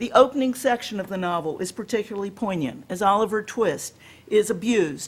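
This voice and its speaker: With an American accent, a woman talks at a moderate pace and medium pitch with ordinary pitch variation. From US South, Alabama. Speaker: professor. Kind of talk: lecture.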